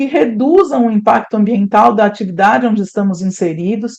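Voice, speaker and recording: A woman speaks with a dark, mellow tone. Her pace is moderate, with ordinary pitch variation. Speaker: animal scientist and consultant giving a talk. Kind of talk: lecture. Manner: animated.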